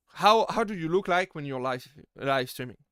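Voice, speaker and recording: The speaker has a strong French accent and lively intonation at a moderate pace. The recording is very clean, with a silent background. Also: man. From France. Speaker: VTuber streamer. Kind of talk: live stream Q&A. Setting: live stream. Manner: halting, many fillers and repeated words.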